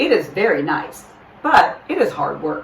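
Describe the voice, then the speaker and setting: A woman in a put-on character voice at a moderate pace. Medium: read story. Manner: calm, patient.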